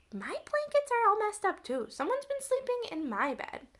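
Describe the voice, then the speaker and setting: An extremely high, squeaky put-on character voice from a woman, with very wide pitch swings, big swings in loudness and a fairly quick pace. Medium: read story.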